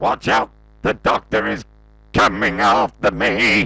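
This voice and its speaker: A man puts on a raspy, robotic character voice. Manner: harsh, menacing.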